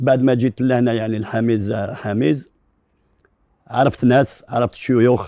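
A man with a dark, mellow tone speaks at a fairly slow pace, with fairly even intonation and big swings in loudness, in a dry sound with no echo and a quiet background. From Algeria, Algiers; Algeria. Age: 50s. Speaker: neighbourhood committee head; interview guest. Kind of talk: testimony; interview answer. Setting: studio. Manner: halting. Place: studio.

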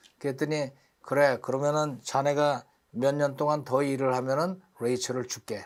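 On a very clean recording with a silent background, a man with a fairly high pitch talks at a moderate pace. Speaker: English teacher teaching through Bible reading. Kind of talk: lecture. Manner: animated.

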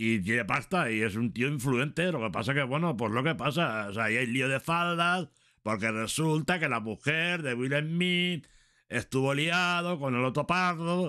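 A man speaks at a fairly slow pace with a bright, sharp tone and lively intonation against a quiet background. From Valencia, Spain; Spain. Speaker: streamer; livestreamer. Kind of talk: casual commentary reading celebrity news; casual livestream chat and gossip commentary. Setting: livestream at night. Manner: rambling, repetitive. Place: home room. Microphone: studio mic.

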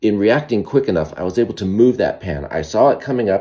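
Over a quiet background, a man talks at a very fast pace in a fairly low pitch with a dark, mellow tone. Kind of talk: casual cooking vlog. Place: kitchen. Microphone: phone near.

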